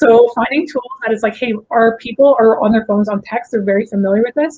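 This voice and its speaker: Speaking very fast, a woman's voice sits at a fairly high pitch. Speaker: conference speaker. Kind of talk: presentation.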